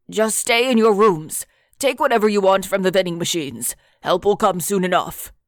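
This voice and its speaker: A woman's put-on character voice, raspy and medium in pitch, with lively intonation at a moderate pace, on a very clean recording with a silent background. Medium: read story. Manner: nervous, defensive.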